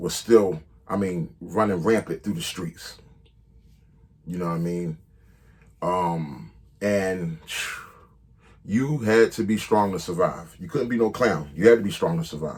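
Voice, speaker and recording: The intonation is lively. Delivery comes at a fairly slow pace. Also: man. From Philadelphia, Southwest Philly. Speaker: rapper telling his life story. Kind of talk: storytelling monologue. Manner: casual, filler-heavy.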